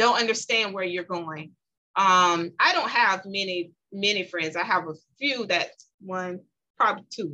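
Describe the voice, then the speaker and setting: This woman speaks at a fairly slow pace with a medium pitch. Her tone is bright and sharp. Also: ordinary pitch variation. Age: 40s. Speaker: businesswoman and motivational speaker. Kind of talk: casual chat.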